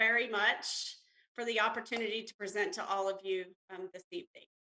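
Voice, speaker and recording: A woman speaks with an Alabama accent in a bright, sharp tone. Her sound is dry and close, with no echo. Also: big swings in loudness. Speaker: census bureau representative. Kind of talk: presentation to city council.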